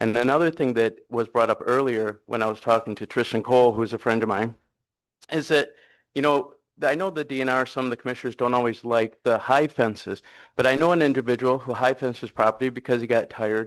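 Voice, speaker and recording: Against a quiet background, a man with an unremarkable speaking voice talks at a fairly quick pace and medium pitch with fairly even intonation. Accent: American. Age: 60s. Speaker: hunting guide, public commenter. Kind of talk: public comment at a meeting. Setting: public meeting room with audience.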